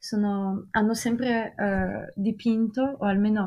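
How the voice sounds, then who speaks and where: A woman's somewhat breathy, dark, mellow voice at medium pitch, fairly slow in pace, with fairly even intonation. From Russia. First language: French and Russian (speaking Italian). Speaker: art history graduate. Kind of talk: casual podcast discussion. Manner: hesitant, searching for words.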